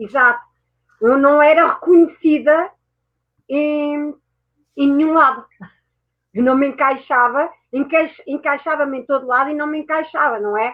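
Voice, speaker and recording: With a European Portuguese accent, a woman speaks at a moderate pace in a high pitch. Her intonation is fairly even, and she leaves long, frequent pauses. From France and Portugal. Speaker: mindset mentor and therapist. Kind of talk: interview. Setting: online talk show.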